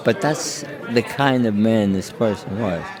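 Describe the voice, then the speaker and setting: Against crowd noise in the background and audible room echo, a man speaks at a medium pitch. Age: 80s+. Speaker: war veteran. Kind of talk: interview, personal war stories. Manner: halting, with many fillers and repetitions.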